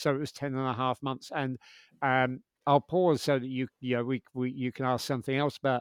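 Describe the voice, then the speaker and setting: Here a man speaks at a medium pitch with a London accent. The sound is dry and close with no echo, and the recording is very clean with a silent background. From London, England. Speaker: podcast host. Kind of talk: interview chat.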